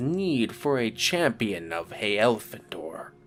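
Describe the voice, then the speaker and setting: Very slowly, a man hisses in a menacing, put-on character voice, with clear background noise. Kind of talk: archaic, thee-and-thou. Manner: hissing, menacing.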